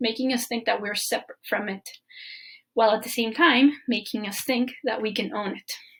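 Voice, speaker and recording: Speaking at a fairly quick pace in a Spanish accent, a woman sounds somewhat breathy, her fairly high pitch held in a monotone, flat intonation. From Mexico. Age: 20s. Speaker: permaculture design student. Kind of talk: presentation. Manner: halting.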